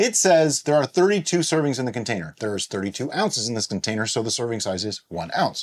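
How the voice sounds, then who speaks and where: A man's voice with very wide swings in pitch. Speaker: home winemaking channel host. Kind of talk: tutorial. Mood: playful, puzzled. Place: home room.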